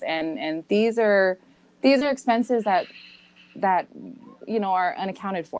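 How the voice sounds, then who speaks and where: A woman's medium-pitched voice with lively intonation at a moderate pace. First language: Samoan. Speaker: podcast co-host, guest on another podcast. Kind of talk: casual interview chat. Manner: hesitant.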